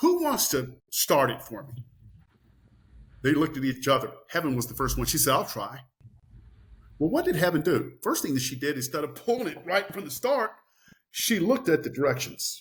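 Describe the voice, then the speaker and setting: Somewhat breathy and fairly high-pitched, a man speaks at a moderate pace with lively intonation and long, frequent pauses. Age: 60s. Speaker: farm owner and author. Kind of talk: interview. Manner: animated.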